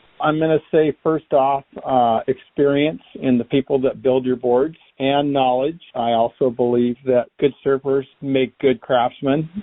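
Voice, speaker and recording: Here a man talks at a fairly slow pace and medium pitch. His intonation is fairly even, and his loudness stays very even. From Southern California, South Orange County. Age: 60s. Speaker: surfboard shaper. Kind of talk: interview answers. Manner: casual, filler-heavy.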